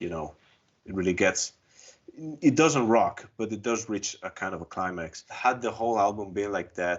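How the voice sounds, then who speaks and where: In an Italian accent, a man talks at a moderate pace with a fairly low pitch and ordinary pitch variation. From Italy. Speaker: music fan panelist. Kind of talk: casual roundtable discussion.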